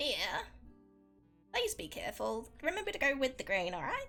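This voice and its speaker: With faint music in the background, a female-sounding put-on character voice with a high pitch speaks at a moderate pace. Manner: gentle, caring.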